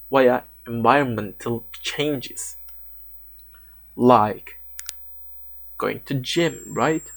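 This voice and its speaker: A man talks at a very slow pace while music plays in the background. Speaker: fitness content creator. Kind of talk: lecture. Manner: halting, with repetitions and stutters.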